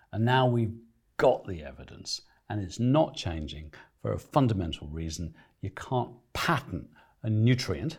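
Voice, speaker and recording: In a very clean recording with a silent background, a man's fairly low, somewhat breathy voice makes very wide pitch swings at a moderate pace, broken by long, frequent pauses. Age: 60s. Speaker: nutrition expert and author. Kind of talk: interview. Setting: studio.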